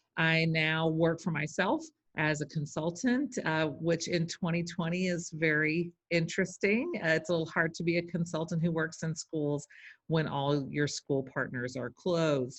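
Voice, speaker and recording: A woman speaks with a Texan accent at a fairly low pitch. Her pitch varies in an ordinary way against a quiet background. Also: moderate pace. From Texas. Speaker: educator and literacy consultant. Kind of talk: interview.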